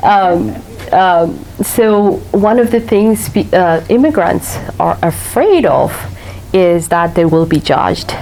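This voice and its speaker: Against noticeable background noise, a woman with a slight non-native accent speaks very slowly and at a very even loudness. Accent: slight foreign. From Eritrea. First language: not English (third language). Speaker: author. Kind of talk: author talk Q&A. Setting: library patio with audience. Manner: hesitant, many fillers.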